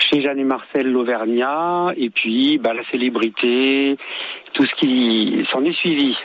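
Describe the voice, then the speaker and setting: Against noticeable background noise, a man talks at a very slow pace in a fairly high pitch. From born in Tunisia. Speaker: singer. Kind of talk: radio interview. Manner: halting, repeats words. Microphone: bad connection, dropouts.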